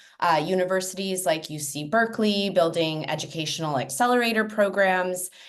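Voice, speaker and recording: A woman with an American accent, medium pitch, ordinary pitch variation and a moderate pace, with audible room echo. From US, California Bay Area. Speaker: education and technology consultant. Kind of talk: webinar panel introduction.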